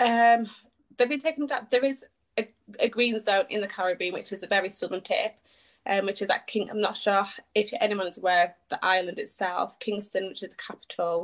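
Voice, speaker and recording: In a British accent, a woman with a fairly high pitch talks at a fairly quick pace with ordinary pitch variation. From northern England. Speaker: charity appeal organiser. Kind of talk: interview. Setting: Facebook live video.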